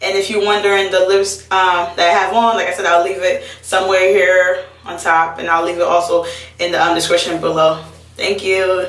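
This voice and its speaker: A medium-pitched woman speaks with monotone, flat intonation amid noticeable background noise and audible room echo. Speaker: beauty vlogger. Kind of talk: tutorial. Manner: fast; casual, chatty.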